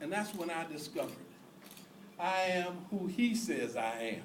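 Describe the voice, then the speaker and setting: Noticeable background noise and audible room echo surround a man speaking at a fairly slow pace with very wide pitch swings. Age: 60s. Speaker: preacher on fundraising. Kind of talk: sermon. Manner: animated.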